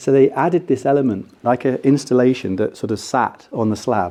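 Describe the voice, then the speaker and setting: A man with an English accent, dark, mellow tone and ordinary pitch variation. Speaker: architect. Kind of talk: lecture. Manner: fast.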